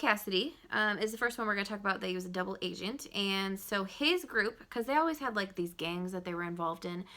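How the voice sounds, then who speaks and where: Fairly quick, medium-pitched female speech with a bright, sharp tone, lively intonation and hardly any pauses, on a very clean recording with a silent background. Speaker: junior high history teacher. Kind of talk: recorded video lesson for students. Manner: fast; casual, filler-heavy.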